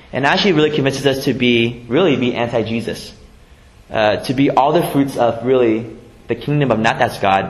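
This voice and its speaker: The voice moves at a fairly quick pace with very even loudness over noticeable background noise. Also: man, medium pitch for a man, ordinary pitch variation. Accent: American. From US West Coast, San Jose (Vietnamese refugee family). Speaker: pastor. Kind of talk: sermon. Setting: church. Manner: halting, with repetitions and fillers.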